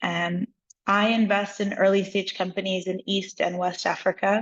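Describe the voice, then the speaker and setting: With an American accent, a woman is speaking. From United States. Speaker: venture investor, workshop mentor. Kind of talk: workshop discussion.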